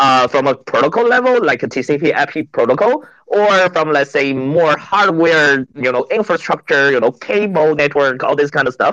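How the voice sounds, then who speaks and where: With a Chinese accent, a man talks at a moderate pace with hardly any pauses, using a fairly high pitch, a bright, sharp tone and lively intonation, in a dry, close sound with no echo. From China. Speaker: venture capital partner, co-host. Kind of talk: panel discussion. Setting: online audio space.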